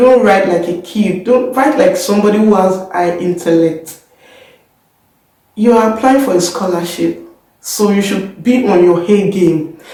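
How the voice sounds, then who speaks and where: Room echo can be heard around the woman's voice. Her pitch varies in an ordinary way. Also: medium pitch for a woman, fairly slow pace. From Nigeria. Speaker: YouTuber, scholarship student. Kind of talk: tutorial. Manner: hesitant, many fillers.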